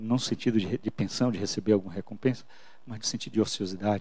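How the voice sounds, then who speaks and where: The man speaks at a very fast pace in a medium pitch with ordinary pitch variation. His tone is dark and mellow. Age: 50s. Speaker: pastor. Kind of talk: sermon.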